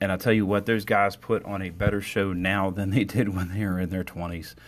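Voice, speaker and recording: Moderate pace and a very deep, low pitch from a man, flat and monotone throughout. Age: 40s. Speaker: podcast host. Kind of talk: political commentary monologue. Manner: casual with frequent fillers.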